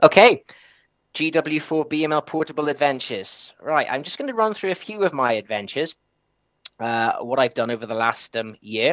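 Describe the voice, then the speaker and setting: Over a quiet background, the speaker uses lively intonation at a moderate pace. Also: man, fairly high pitch for a man. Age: 30s. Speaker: amateur radio operator. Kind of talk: presentation. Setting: live webinar stream. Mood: enthusiastic. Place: home room.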